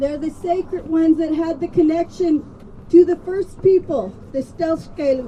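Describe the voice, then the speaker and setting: With an American accent and ordinary pitch variation, a woman speaks at an extremely high pitch amid noticeable background noise. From Colville Reservation, Washington. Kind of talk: speech at a rally.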